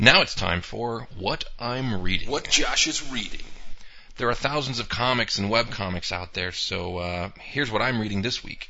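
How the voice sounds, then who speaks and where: Ordinary pitch variation marks an ordinary speaking voice that keeps a moderate pace. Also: man, medium pitch for a man. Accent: American. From US Northeast (Poughkeepsie, New York). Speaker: webcomic creator and podcast host. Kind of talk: solo podcast monologue. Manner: casual, with filler words.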